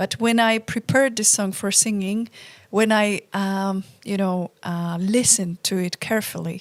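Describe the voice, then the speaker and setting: A woman of medium pitch speaks at a moderate pace with fairly even intonation, recorded very cleanly with a silent background and a dry, close sound with no echo. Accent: Polish. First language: Polish. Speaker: folk band singer, show co-host. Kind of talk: casual chat.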